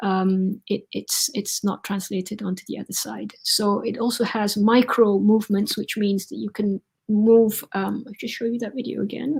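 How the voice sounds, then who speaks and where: Her voice is somewhat breathy and medium in pitch, with fairly even intonation. The woman keeps a moderate pace with hardly any pauses. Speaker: surgeon. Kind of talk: lecture. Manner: halting, many fillers.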